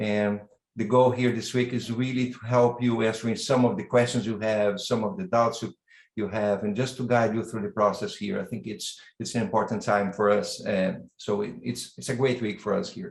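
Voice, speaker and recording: At a moderate pace, a man with a Brazilian accent speaks at medium pitch with ordinary pitch variation. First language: Portuguese. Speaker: university dean and professor. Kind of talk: welcome address. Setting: online video event. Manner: halting, with repetitions.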